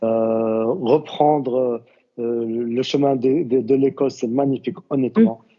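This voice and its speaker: A man with a medium-pitched voice talks very slowly. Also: ordinary pitch variation. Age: 40s. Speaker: university student, tourism professional. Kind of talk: podcast interview. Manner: halting, many fillers and repetitions.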